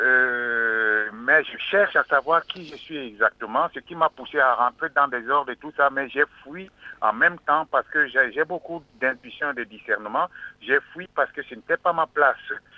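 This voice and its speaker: Speaking at a fairly slow pace, a man with a fairly high pitch shows ordinary pitch variation and big swings in loudness. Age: 60s. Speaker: caller. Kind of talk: call-in testimony.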